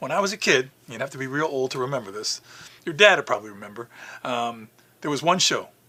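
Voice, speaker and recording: A man with an American accent at a very fast pace, with lively intonation and big swings in loudness. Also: medium pitch for a man. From New York City. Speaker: zoo communications director. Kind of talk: interview storytelling.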